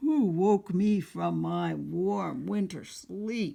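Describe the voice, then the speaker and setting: The speech is a put-on character voice with a growling sound. It unfolds at a very slow pace. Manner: snarling.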